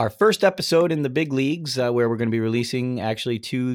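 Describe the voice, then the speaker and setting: The speech goes at a very fast pace with lively intonation, the sound dry and close with no echo. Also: man. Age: 30s. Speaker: podcast host. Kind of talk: casual chat. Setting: remote recording. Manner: animated.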